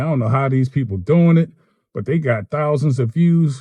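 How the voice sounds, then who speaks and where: A man with an American accent speaks fairly quickly at a medium pitch with ordinary pitch variation. His tone is dark, mellow and somewhat breathy, in a dry, close sound with no echo. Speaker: electrician turned gig worker and vlogger. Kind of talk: casual vlog monologue. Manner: conversational, self-described poor articulation.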